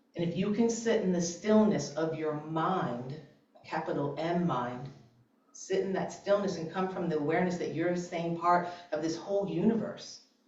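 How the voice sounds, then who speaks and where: A woman speaks in a fairly low voice with an animated tone and ordinary pitch variation. Noticeable background noise and audible room echo come through. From New England. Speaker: mindset coach and speaker. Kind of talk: sermon. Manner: fast.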